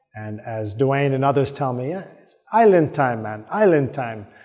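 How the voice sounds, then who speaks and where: A man with a plain, everyday voice and an American accent, medium pitch, lively intonation and moderate pace, on a very clean recording with a silent background. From New York. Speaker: podcast host. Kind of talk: solo podcast monologue. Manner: casual, with many filler words.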